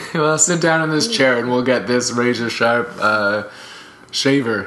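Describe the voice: A man puts on a raspy character voice at a medium pitch, with lively intonation and a fairly slow pace. There is audible echo in the recording.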